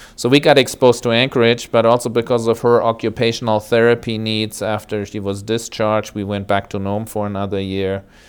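Hardly pausing, a man with a German accent talks in a medium-pitched, monotone, flat voice. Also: fairly quick pace. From Germany (West Germany). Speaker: hospital chaplain. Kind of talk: interview. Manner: hesitant, with fillers.

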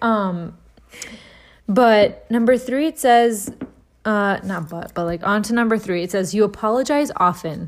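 A woman with a fairly high pitch speaks in an animated tone at a fairly slow pace with ordinary pitch variation. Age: 20s. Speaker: podcast co-host. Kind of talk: casual chat. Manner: animated, chatty.

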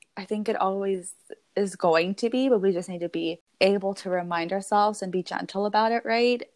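Speaking at a fairly quick pace, a woman uses a plain, everyday voice of medium pitch with fairly even intonation. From US, Mexican-American family. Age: 20s. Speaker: podcast host. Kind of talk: casual chat.

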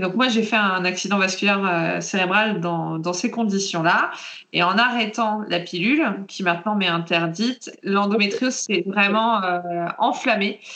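A woman talks at a fairly slow pace with ordinary pitch variation. The room echo is audible, and there is noticeable background noise. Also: medium pitch for a woman. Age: 30s. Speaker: patient sharing her story, librarian. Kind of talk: testimony.

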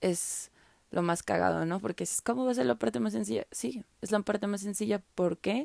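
In a Mexican accent, a woman with a dark, mellow tone and medium pitch talks at a moderate pace with very wide pitch swings, the sound dry and close with no echo on a very clean recording with a silent background. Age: 20s. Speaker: podcaster. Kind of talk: personal testimony. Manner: casual.

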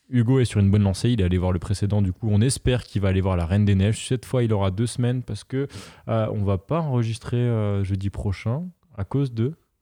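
A man's fairly low voice with a dark, mellow tone, ordinary pitch variation, a very fast pace, a dry, close sound with no echo, and a quiet background. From France, Moselle. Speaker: podcast host. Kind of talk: casual chat.

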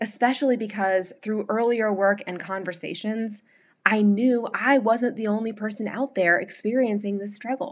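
A woman with an American accent, fairly high in pitch, at a moderate pace and with fairly even intonation. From North Carolina. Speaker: podcast host and blogger. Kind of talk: scripted narration of a personal essay.

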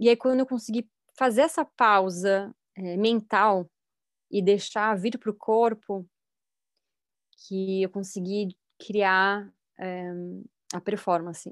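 On a very clean recording with a silent background and a dry, close sound with no echo, a woman speaks at a very slow pace with long, frequent pauses, a medium pitch and ordinary pitch variation. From Brazil, São Paulo state. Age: 30s. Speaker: actress and filmmaker. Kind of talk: casual chat.

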